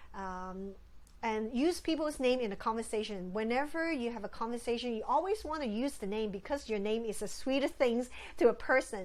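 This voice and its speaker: A woman with a plain, everyday voice and a fairly high pitch talks at a fairly quick pace with lively intonation. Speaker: ministry facilitation trainer. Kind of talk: training lecture.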